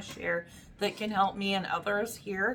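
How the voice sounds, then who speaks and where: With a bright, sharp tone, a woman talks at a moderate pace and medium pitch, her intonation fairly even. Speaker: YouTuber sharing job search experience. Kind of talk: casual vlog talk to camera. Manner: hesitant, many fillers.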